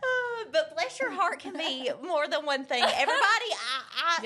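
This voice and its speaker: In a Southern US accent, the raised, projected voice moves at a moderate pace with very wide pitch swings over noticeable background noise. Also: woman, extremely high pitch for a woman. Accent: Southern US twang. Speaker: interview guest discussing customer service. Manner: halting, repeats words while searching for phrasing.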